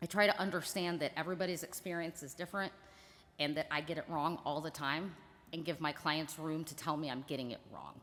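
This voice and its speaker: A woman with a very deep, low voice speaks at a fairly quick pace, her pitch varying an ordinary amount. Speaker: attorney on a panel. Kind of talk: panel discussion. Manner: loud.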